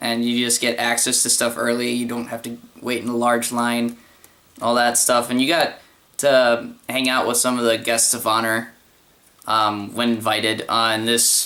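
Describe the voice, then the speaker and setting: A man speaks at a moderate pace in a medium-pitched monotone with flat intonation, over noticeable background noise. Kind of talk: casual talk to camera. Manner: hesitant, many fillers.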